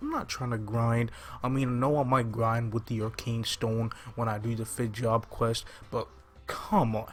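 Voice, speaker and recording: A somewhat breathy voice at a moderate pace, with monotone, flat intonation. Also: man, medium pitch for a man. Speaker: gaming YouTuber. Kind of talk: gameplay commentary. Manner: quiet, subdued; casual, hesitant with fillers.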